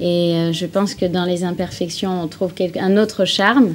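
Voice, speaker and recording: Medium-pitched female speech at a moderate pace, with noticeable background noise. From English-speaking, raised in France from age six. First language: English (speaking French). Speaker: singer. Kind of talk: TV interview.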